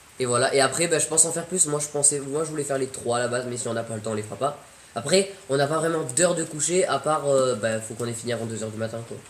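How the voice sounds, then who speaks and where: A man talks at a very fast pace in a fairly high voice. Noticeable background noise can be heard. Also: ordinary pitch variation. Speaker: streamer. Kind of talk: casual chat. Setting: live stream. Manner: loud.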